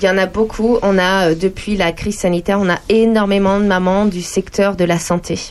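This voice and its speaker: A woman at medium pitch, moderate pace and very even loudness, monotone and flat in intonation, with hardly any pauses. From France, various regions. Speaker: entrepreneur and digital trainer. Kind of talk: radio interview.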